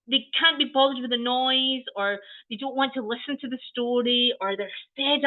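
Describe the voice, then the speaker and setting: The speaker has a Scottish accent and ordinary pitch variation. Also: woman. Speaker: early years trainer. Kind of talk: training webinar. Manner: animated.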